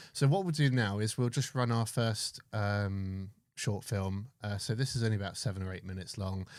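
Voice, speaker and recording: On a very clean recording with a silent background, a man speaks with an English accent. He keeps a moderate pace. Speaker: live stream host for metal detecting. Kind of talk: casual live stream chat. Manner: soft-spoken.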